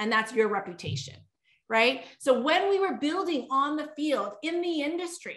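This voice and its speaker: With audible room echo behind her, a woman speaks at a moderate pace and a high pitch in an animated tone with lively intonation. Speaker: network marketing leader. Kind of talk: sales pitch.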